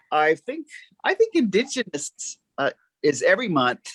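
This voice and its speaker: Heard with a dry, close sound and no echo, a man's bright, sharp tone moves through very wide pitch swings. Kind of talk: panel discussion. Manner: halting, with many fillers.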